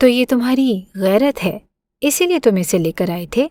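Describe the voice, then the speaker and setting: A woman uses a put-on character voice, high-pitched and growling. She keeps a moderate pace while her pitch swings very widely. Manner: harsh, growling.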